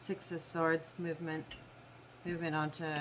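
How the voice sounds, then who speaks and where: A woman's very deep, low voice in a monotone, flat intonation. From Canada. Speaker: tarot reader. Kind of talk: tarot reading monologue. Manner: slight slurring.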